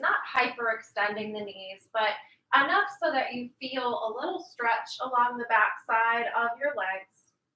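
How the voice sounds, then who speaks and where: Music plays in the background as a woman speaks in a calm tone at a fairly slow pace. Her pitch is high, with ordinary pitch variation. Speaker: yoga instructor. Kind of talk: guided yoga class. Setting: livestream from home. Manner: calm, slow instructional.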